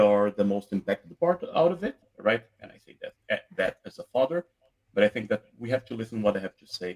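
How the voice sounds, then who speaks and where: A man with a Brazilian accent talks at a fairly quick pace in a medium pitch, his intonation lively. His loudness swings widely, and the sound is dry and close with no echo. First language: Portuguese. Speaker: debate panelist. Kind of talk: live panel discussion.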